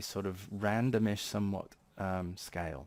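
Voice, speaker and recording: A man speaks with a British accent and fairly even intonation. His pitch is very deep and low. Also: very clean recording, silent background. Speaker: tech YouTuber. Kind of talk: casual tech update video.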